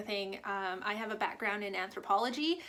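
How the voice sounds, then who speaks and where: A woman with a French Canadian accent, fairly high pitch and ordinary pitch variation. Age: 30s. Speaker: booktuber. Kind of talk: casual vlog. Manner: hesitant, many fillers.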